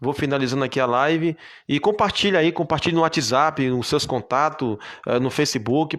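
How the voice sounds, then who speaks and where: At a fairly quick pace, a man with a fairly high pitch and ordinary pitch variation comes through in a very clean recording with a silent background. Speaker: preacher. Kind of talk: live stream sign-off; sermon. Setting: Facebook live video. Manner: halting.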